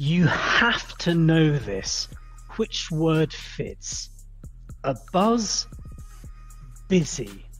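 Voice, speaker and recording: Speaking at a very slow pace with long, frequent pauses, a woman is heard over music in the background. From London, England. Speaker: English pronunciation teacher. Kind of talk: pronunciation drill. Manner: clear, deliberate.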